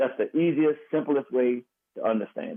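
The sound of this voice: A man with a medium pitch speaks at a fairly quick pace.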